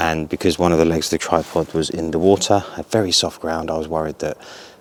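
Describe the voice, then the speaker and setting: Over noticeable background noise, a man speaks at a fairly quick pace in a very deep, low pitch. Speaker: photography vlogger. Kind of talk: casual vlog narration. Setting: outdoors.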